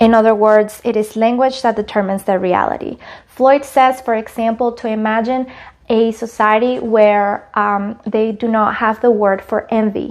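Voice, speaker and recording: A woman speaks with a Spanish accent at a fairly high pitch. Her delivery is moderately paced and monotone, with flat intonation. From Latin America. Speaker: college student. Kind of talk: class presentation.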